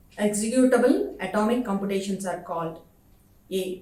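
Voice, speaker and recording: Against noticeable background noise and audible room echo, the speaker uses an Indian accent at a moderate pace, with ordinary pitch variation. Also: woman. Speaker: professor. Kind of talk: lecture.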